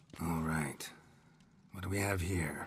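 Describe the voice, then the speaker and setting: A man puts on a character voice that is raspy and very deep and low in pitch. His tone stays deadpan. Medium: video game. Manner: terse, clipped, deadpan.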